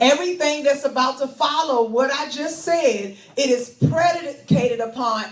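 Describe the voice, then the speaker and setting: A woman speaks in a high pitch with ordinary pitch variation. Noticeable background noise runs under her voice. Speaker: pastor, preacher. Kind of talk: scripture reading.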